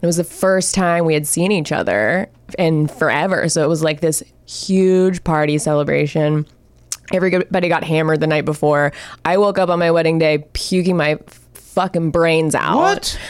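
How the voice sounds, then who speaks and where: A woman with an American accent has an ordinary speaking voice and a fairly low pitch. She talks at a moderate pace with fairly even intonation and very even loudness. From Florida. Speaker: comedian, actor. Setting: studio.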